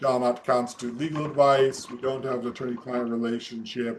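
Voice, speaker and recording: A man talks at a moderate pace with an American accent. He has an ordinary speaking voice at medium pitch. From US Midwest, Omaha. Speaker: real estate attorney. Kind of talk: webinar presentation. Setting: video call.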